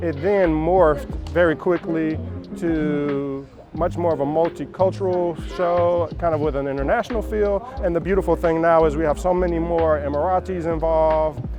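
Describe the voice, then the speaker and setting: Music plays in the background. A man with an American accent speaks at a moderate pace. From Georgia, USA. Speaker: spoken word poet and educator. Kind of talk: interview answer. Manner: casual, reflective.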